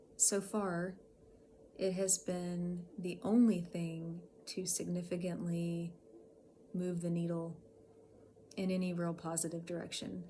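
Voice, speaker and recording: Somewhat breathy and dark, mellow in tone, a woman speaks with monotone, flat intonation as audible room echo surrounds her. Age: 40s. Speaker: health vlogger with chronic illness. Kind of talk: personal vlog talk to camera. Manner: hesitant, with many fillers.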